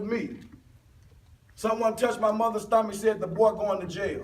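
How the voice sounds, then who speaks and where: Room echo is audible as a man with a high voice speaks at a moderate pace. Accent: American. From US South. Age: 30s. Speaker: motivational speaker. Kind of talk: motivational speech. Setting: stage with audience.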